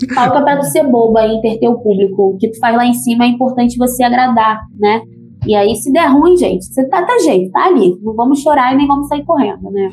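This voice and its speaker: A woman with lively intonation and a high pitch speaks over noticeable background noise. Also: fairly quick pace. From Baixada Fluminense, Rio de Janeiro, Brazil. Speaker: rapper and singer. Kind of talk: interview.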